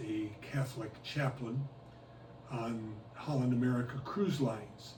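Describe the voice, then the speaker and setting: A medium-pitched man at a very slow pace, with audible room echo and noticeable background noise. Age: 80s+. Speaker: retired cruise ship chaplain. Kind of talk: oral history interview. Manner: hesitant, with frequent uhs.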